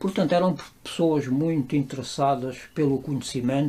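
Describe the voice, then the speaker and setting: A man speaks at a fairly slow pace in a fairly high voice, his tone dark and mellow and his intonation fairly even. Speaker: interviewee. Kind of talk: interview testimony.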